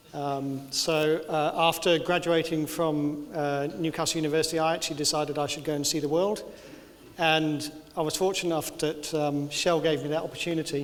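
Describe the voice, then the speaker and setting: With a Birmingham accent, a man speaks fairly quickly in a monotone, flat intonation at a fairly high pitch, amid noticeable background noise and audible room echo. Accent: English, Birmingham area. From English Midlands, south of Birmingham. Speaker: engineering consultant. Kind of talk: lecture. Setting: lecture theatre with audience. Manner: halting with many fillers.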